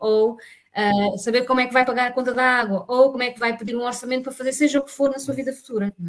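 Speaking at a very fast pace, a woman uses a high pitch. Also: fairly even intonation. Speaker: teacher. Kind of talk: casual chat. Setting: video call.

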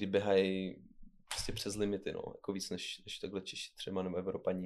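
A man speaks at a fairly quick pace in a fairly low voice with monotone, flat intonation. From Czech Republic. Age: 20s. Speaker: Instagram influencer and runner. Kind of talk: casual interview chat.

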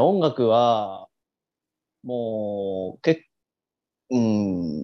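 A man's medium-pitched, dark and mellow voice with ordinary pitch variation and long, frequent pauses. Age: 20s. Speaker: podcast co-host. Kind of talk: casual chat. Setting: video call. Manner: animated.

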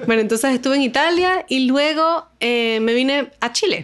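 A woman talks in a normal speaking voice. Her pace is moderate. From Venezuela, Caracas. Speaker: astronomer. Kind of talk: interview. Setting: in person at a university institute.

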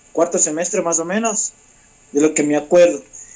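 A man keeps his intonation fairly even while noticeable background noise plays around him. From Ecuador, Ambato. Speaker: magician. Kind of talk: interview.

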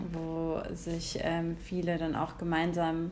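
With audible room echo around her, a woman talks in a fairly low pitch. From Germany, Hesse. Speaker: podcast co-host. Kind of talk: casual chat.

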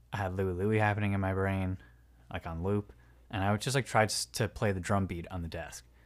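A man with an American accent talks at a fairly quick pace in an ordinary speaking voice. His pitch is fairly low and his intonation fairly even, in a very clean recording with a silent background. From New Jersey. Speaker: sound artist and audio engineer. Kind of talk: casual chat.

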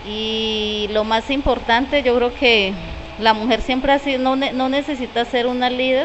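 A woman speaks over noticeable background noise. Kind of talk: interview testimony. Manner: halting.

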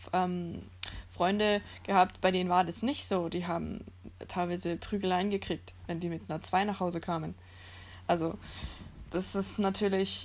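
At medium pitch, a woman talks at a moderate pace in a monotone, flat intonation. Her long, frequent pauses stand out against a quiet background. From Germany. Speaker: podcast guest. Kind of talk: casual chat.

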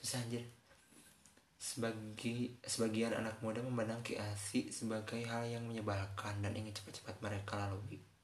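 A man speaks in a flat monotone with a West Javanese accent, over noticeable background noise and audible room echo. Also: medium pitch for a man, moderate pace. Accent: Sundanese. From West Java (Sundanese). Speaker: podcast host. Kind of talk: casual monologue with reading aloud. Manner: halting.

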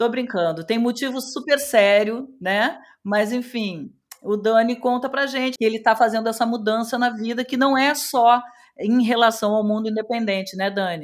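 A woman's fairly high voice in a southern Brazilian accent. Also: ordinary pitch variation, moderate pace. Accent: gaúcho accent, still present. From Rio Grande do Sul, southern Brazil. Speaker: radio host. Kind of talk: casual radio chat.

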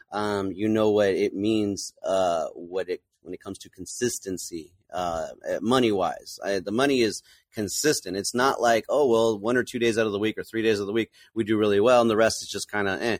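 An ordinary speaking voice with an American accent, fairly quick and fairly even in intonation, recorded dry and close with no echo against a silent, very clean background. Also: man. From California. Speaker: tiki bar bartender. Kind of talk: casual chat.

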